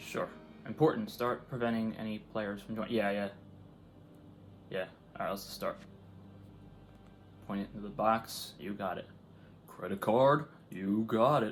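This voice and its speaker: At a moderate pace, a man of medium pitch talks with long, frequent pauses. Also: ordinary pitch variation. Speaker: gaming YouTuber. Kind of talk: let's play commentary. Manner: casual, rambling; loud.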